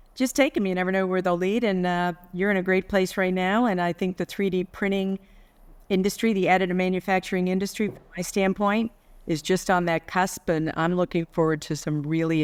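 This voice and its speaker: An unremarkable speaking voice moves at a fairly quick pace. The recording is very clean with a silent background and a dry, close sound with no echo. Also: woman. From New York. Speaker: business executive. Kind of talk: interview conversation.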